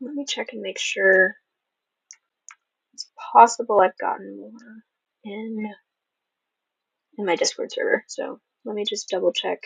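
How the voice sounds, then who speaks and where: A soft-spoken woman talks at a moderate pace with long, frequent pauses and big swings in loudness, the sound dry and close with no echo. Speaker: author hosting a livestream Q&A. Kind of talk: livestream Q&A. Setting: livestream. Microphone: mic may not pick up quiet voice.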